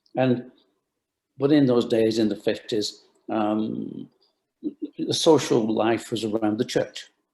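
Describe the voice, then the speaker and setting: At a fairly slow pace, a man speaks with medium pitch, a dark, mellow tone and vocal fry. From Bolton, England. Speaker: retired sports shoe company founder. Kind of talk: interview answer.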